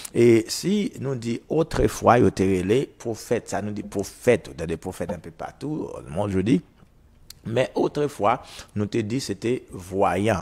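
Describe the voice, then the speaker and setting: A man talks in a normal speaking voice at a fairly low pitch. His pace is fairly slow. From Haiti. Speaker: prophet and radio preacher; radio preacher. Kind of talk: radio sermon / teaching. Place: studio. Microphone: lapel.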